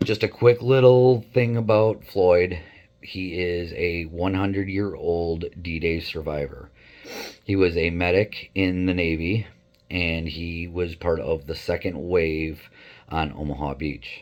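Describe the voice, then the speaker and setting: With a very deep, low pitch, a man speaks at a fairly slow pace and with ordinary pitch variation. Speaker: photographer. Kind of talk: casual introduction to camera.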